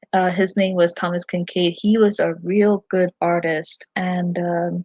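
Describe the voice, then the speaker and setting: At a very slow pace, a woman talks in a dark, mellow tone that is somewhat breathy, her medium pitch held in fairly even intonation, the sound dry and close with no echo. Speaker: fan vlogger. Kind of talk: livestream chat. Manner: halting, many fillers.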